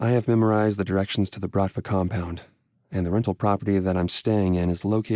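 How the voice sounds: Delivered in a natural reading voice, the words follow a fairly even intonation against a quiet background.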